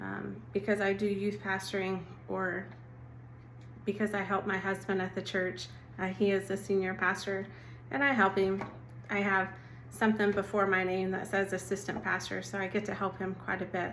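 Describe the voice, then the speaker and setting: A woman in an Oklahoma accent speaks at medium pitch in a gentle tone with vocal fry, keeping a moderate pace, ordinary pitch variation, and long, frequent pauses, amid audible room echo. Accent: Oklahoma, noticeable. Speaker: assistant pastor. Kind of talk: devotional talk. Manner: gentle, conversational.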